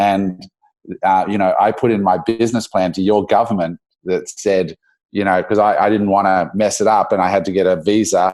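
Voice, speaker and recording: A man with an Australian accent talks at a fairly low pitch in monotone, flat intonation. The recording is very clean, with a silent background. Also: moderate pace, very even loudness. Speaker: entrepreneur. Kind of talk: podcast interview.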